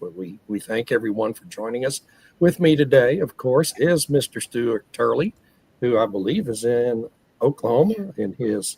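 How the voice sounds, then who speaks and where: In a hoarse, put-on character voice, a man speaks at a medium pitch and moderate pace, with ordinary pitch variation and big swings in loudness. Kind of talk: podcast host, conversational.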